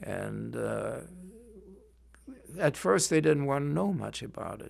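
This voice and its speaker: Talking fairly slowly with a German accent, a man shows big swings in loudness. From Germany. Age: 80s+. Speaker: Holocaust survivor, retired librarian. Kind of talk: oral history interview. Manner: halting.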